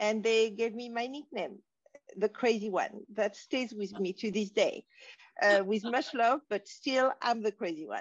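A woman speaks with a French accent at a moderate pace, her pitch fairly high with ordinary variation. The sound is dry and close, with no echo. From Morocco (French family, raised in Casablanca). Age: 60s. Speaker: wisdom teacher. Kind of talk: interview.

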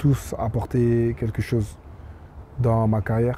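Light background noise sits behind a man whose somewhat breathy voice has a dark, mellow tone and a dry sound with no echo. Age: 20s. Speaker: professional footballer; interviewee. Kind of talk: interview. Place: stadium. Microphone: handheld.

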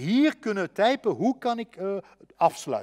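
A dry, close sound with no echo, in a Limburg accent. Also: man. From Belgian Limburg. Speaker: educational adviser. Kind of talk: webinar presentation. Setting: online webinar.

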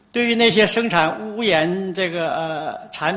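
The man talks with lively intonation. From China. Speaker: environmental activist. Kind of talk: conference talk. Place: meeting room.

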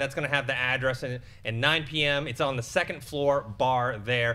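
A man's bright, sharp tone at a fairly quick pace. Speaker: panel show co-host. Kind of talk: show announcements. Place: studio. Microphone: studio mic.

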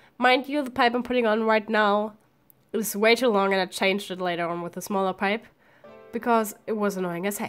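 There is music in the background. A woman speaks with a fairly high pitch. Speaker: makeup tutorial vlogger. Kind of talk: tutorial. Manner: casual.

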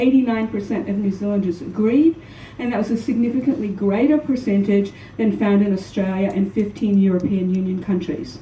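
A woman speaks with an American accent and ordinary pitch variation. Audible room echo and light background noise are present. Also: moderate pace. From US South, New Orleans. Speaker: psychology professor and researcher. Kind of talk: conference presentation. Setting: stage with audience. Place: hall. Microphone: podium.

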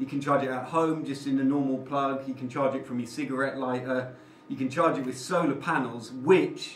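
A man speaks at a fairly quick pace in a monotone, flat way, with light background noise and audible echo from the room. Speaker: renovation vlogger. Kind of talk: casual vlog chat. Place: empty room. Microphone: camera far.

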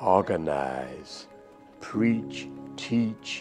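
Clear music plays behind a man with an American accent. His pitch is very deep and low, with very wide swings. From US South. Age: 80s+. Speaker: pastor. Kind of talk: interview reminiscence. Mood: reflective, earnest. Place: office. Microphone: lapel.

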